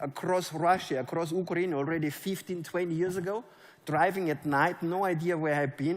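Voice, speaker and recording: Speaking at a fairly quick pace, a man with a German accent has a fairly high pitch. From Germany. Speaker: network marketing leader. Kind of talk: motivational speech. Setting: stage with audience.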